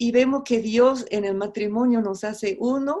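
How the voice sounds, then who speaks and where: In a very clean recording with a silent background, a woman speaks very slowly with a dark, mellow tone and ordinary pitch variation. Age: 60s. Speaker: missionary. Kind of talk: sermon. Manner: halting.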